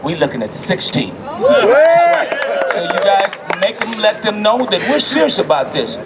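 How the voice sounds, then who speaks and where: An animated man with an American accent against noticeable background noise. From US South. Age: 70s. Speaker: city council member. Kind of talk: rally speech.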